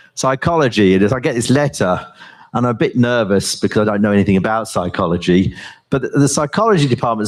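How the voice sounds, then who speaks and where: Speaking with a British accent, a man goes at a fairly quick pace. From US and Britain, left Yorkshire as a baby. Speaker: professor and AI researcher. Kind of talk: conference talk and onstage interview. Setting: stage with audience.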